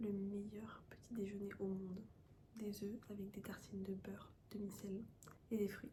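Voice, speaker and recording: Soft-spoken and somewhat breathy, the dark, mellow voice moves fairly slowly in a flat monotone with long, frequent pauses and audible room echo. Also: woman, medium pitch for a woman. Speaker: lifestyle vlogger. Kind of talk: casual vlog talk.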